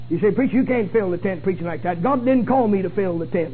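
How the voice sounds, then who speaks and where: Over music in the background, a man speaks in a pompous tone with very wide pitch swings. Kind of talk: sermon, preacher in full flow. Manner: rhetorical, mocking of pompous clergy, rapid and emphatic.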